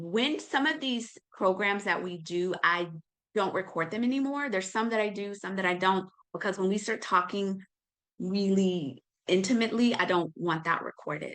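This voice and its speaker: An ordinary speaking voice from a woman holds a medium pitch with ordinary pitch variation. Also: moderate pace. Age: 50s. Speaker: nutritionist and wellness teacher. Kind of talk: online class sales pitch. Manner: casual.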